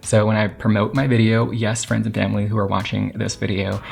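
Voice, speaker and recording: This man sounds somewhat breathy and talks at a fairly quick pace. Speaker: YouTube creator. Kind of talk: tutorial. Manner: fast when excited; animated.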